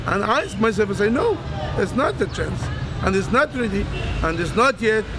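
Noticeable background noise is present throughout. Against it, a man talks at a high pitch with ordinary pitch variation. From Egypt. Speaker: Islamic preacher. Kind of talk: interview answer. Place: street. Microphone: lapel.

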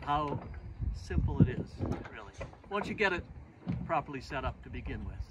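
Against loud background noise, a man speaks with long, frequent pauses. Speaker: boat designer and sailor. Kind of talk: casual how-to demonstration. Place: waterside.

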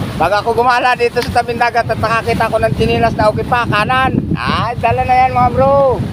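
A man talks fairly quickly with hardly any pauses and very even loudness. Noticeable background noise is present. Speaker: fisherman vlogger. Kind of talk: casual vlog narration. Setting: outdoors by the sea.

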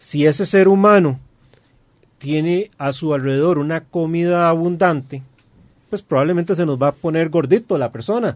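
A man speaks in a Costa Rican accent at a moderate pace. The background is quiet. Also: ordinary pitch variation. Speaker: aquarium hobbyist co-host. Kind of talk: radio talk show discussion. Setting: radio studio. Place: studio. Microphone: studio mic.

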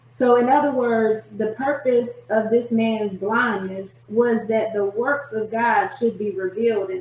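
The speaker moves at a fairly slow pace with hardly any pauses and fairly even intonation. Noticeable background noise runs underneath. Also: woman, fairly high pitch for a woman. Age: 40s. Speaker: prophetess and author. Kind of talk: testimony.

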